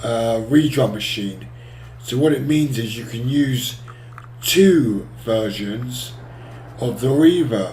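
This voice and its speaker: A man speaks at a very slow pace in a medium pitch with ordinary pitch variation, leaving long, frequent pauses. The recording has noticeable background noise and audible room echo. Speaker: music software tutorial maker. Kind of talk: tutorial.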